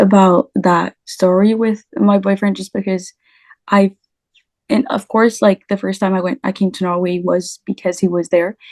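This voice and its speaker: A woman with a French accent talks at a moderate pace and medium pitch, in a dry, close sound with no echo. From France. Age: 20s. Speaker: language teacher. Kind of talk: interview. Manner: halting.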